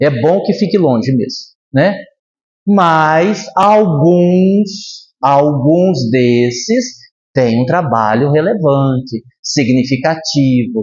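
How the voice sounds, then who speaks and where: A man with a fairly high pitch, lively intonation and a somewhat breathy voice, very slow in pace with long, frequent pauses, very even in loudness, and with audible room echo. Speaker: spiritist lecturer. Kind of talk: lecture. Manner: animated.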